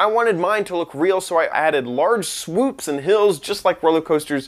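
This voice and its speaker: Here a man speaks with lively intonation. His pace is moderate. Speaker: online host. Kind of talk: tutorial.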